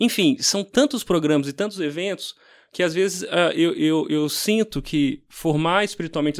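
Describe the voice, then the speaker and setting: A man at a moderate pace, high in pitch with ordinary pitch variation, on a very clean recording with a silent background. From Brazil, Minas Gerais. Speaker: pastor. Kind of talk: casual chat.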